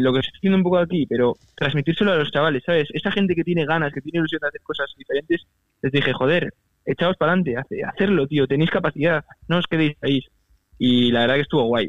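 A man talks very fast in a fairly high voice, with ordinary pitch variation. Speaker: university student and entrepreneur. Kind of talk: interview. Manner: casual, halting.

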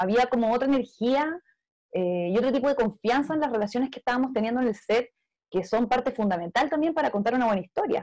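With a Chilean accent, a woman talks at a fairly quick pace and a high pitch, her intonation lively. Her tone is dark and mellow, and the recording is very clean with a silent background. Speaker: film director. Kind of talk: panel discussion.

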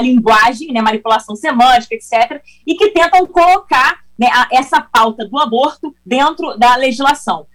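Speaking at a moderate pace, a woman uses lively intonation. Her pitch is high. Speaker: congresswoman. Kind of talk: interview.

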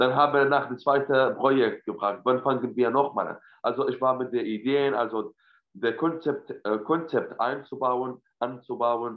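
Speaking with an Arabic accent, a man keeps a medium pitch and fairly even intonation at a fairly slow pace. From Syria. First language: Arabic (speaking German). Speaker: actor. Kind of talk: casual interview chat. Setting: video call from home. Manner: halting, many fillers.

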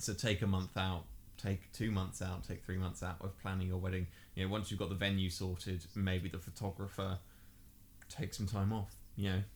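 In a very clean recording with a silent background, a man with a very deep, low pitch talks at a moderate pace, somewhat breathy and in a monotone, flat intonation. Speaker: podcast co-host. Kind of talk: casual chat.

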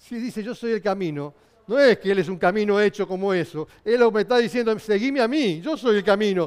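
In a very clean recording with a silent background, a man with a Rioplatense accent speaks at a high pitch and a moderate pace, with ordinary pitch variation. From Argentina, Buenos Aires. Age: 60s. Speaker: pastor. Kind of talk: sermon. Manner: halting.

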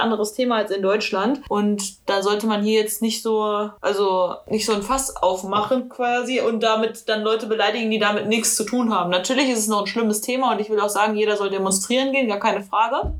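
Over noticeable background noise, a woman talks at a fairly quick pace with hardly any pauses, using a fairly high pitch and fairly even intonation. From Germany, NRW (Ruhr area). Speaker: police officer, co-host. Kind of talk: casual chat.

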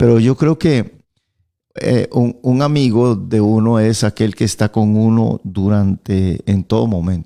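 Over a very clean recording with a silent background, a man speaks slowly-ish at a fairly slow pace, his dark, mellow tone carrying ordinary pitch variation. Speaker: pastor. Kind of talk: radio Bible teaching chat. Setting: radio studio.

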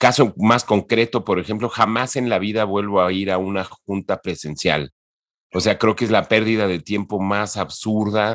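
A man talks at a moderate pace with a fairly low pitch and fairly even intonation. The sound is dry and close, with no echo. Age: 50s. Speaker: entertainment industry professional. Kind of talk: interview. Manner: halting, many repetitions.

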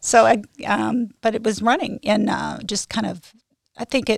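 This is a woman's voice. She speaks with vocal fry. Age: 60s. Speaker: amateur runner. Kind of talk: interview.

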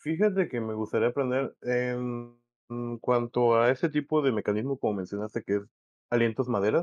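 A man with a Mexican accent talks at a moderate pace in a medium pitch. The sound is dry and close with no echo, and his pitch varies in an ordinary way. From Mexico. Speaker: musician. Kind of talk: casual chat.

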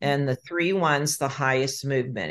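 A woman speaks with a very deep, low pitch and ordinary pitch variation. The background is quiet. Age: 60s. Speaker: author and energy-profiling teacher. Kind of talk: interview, explanatory teaching.

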